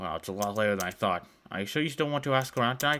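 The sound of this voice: This is an unforced reading voice.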